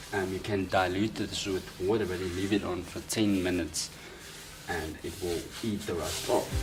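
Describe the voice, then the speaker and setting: A man's very deep, low voice at a moderate pace, monotone and flat, with music in the background and audible room echo. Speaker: car DIY youtuber. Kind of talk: tutorial. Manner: casual, with filler words and repetitions.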